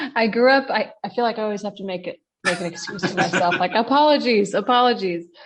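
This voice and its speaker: Talking at a very fast pace, a woman with an American accent uses a medium pitch. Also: ordinary pitch variation. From US Northeast (New York tri-state area). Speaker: non-profit co-founder. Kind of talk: interview conversation.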